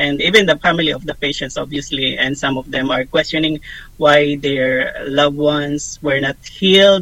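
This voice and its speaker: Fairly even intonation carries this voice along at a moderate pace. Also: man. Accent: Filipino. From Philippines. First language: Tagalog. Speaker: ministry staff member. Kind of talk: interview podcast.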